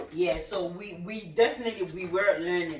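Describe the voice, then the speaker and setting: The speaker has a Nigerian accent. The pace is moderate. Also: woman. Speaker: cooking channel host. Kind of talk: casual chat.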